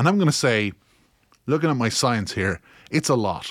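A man with a Kilkenny accent speaks with ordinary pitch variation on a very clean recording with a silent background. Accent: Irish, Kilkenny. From Ireland. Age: 30s. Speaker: podcaster. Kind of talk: casual monologue, part comedic.

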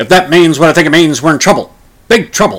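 A man speaks in a put-on character voice. His pitch is high and his pace is very fast. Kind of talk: clipped, commanding. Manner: gruff, serious.

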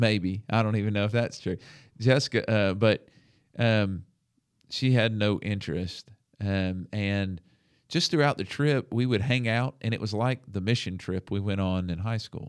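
The recording is very clean, with a silent background. A man with a Southern US accent speaks with ordinary pitch variation. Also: fairly low pitch for a man, moderate pace. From US South, Alabama. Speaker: podcast host, minister and counselor. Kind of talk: testimony. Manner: halting.

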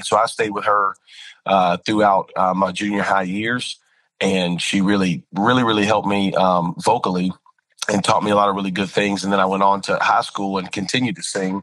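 A man with an American accent and a fairly low voice moves through his words fairly quickly. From North Carolina. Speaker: pastor and worship leader. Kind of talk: casual interview chat. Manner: animated.

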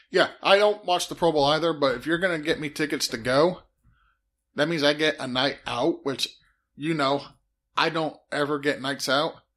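On a very clean recording with a silent background, a man with an ordinary speaking voice talks at a fairly high pitch with ordinary pitch variation. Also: moderate pace. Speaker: podcast co-host. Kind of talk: casual banter podcast. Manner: joking, bantering.

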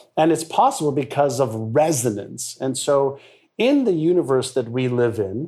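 Music plays behind a man speaking at a moderate pace. His voice is fairly high-pitched, with lively intonation. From Montreal, Canada (moved from Israel at about six). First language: Hebrew. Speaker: mindset expert and author. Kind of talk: interview.

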